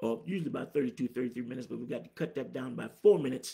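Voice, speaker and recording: A man with a dark, mellow tone and vocal fry speaks very fast with ordinary pitch variation, the background quiet. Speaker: preacher. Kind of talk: sermon. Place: office. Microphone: phone near.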